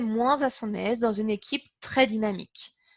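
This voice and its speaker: A woman speaks at a fairly slow pace in an animated tone with ordinary pitch variation, captured with a dry, close sound with no echo on a very clean recording with a silent background. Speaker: interpreter giving a practice speech. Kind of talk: prepared practice speech. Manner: animated, moves hands a lot.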